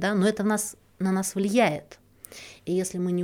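In an ordinary speaking voice, a woman talks at a moderate pace with a fairly low pitch on a very clean recording with a silent background. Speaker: podcast host, relationship psychologist. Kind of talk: solo podcast talk.

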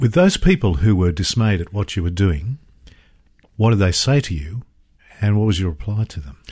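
The somewhat breathy voice has lively intonation, broken up by long, frequent pauses. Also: man, fairly low pitch for a man, moderate pace. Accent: Australian. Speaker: radio host. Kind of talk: radio interview. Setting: studio.

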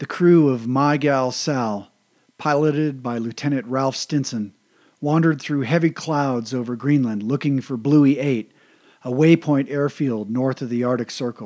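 Speaking at a moderate pace with fairly even intonation and a medium pitch, this man has an unremarkable speaking voice on a very clean recording with a silent background. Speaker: military history podcaster. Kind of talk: history documentary narration. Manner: measured, steady, formal; even and informative, little emotion.

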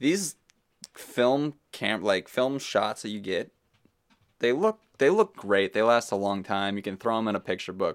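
Here is a man with an ordinary speaking voice, medium in pitch, with ordinary pitch variation. He talks at a fairly slow pace on a very clean recording with a silent background, the sound dry and close with no echo. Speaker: podcast host. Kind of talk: casual chat. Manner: informal, jokey.

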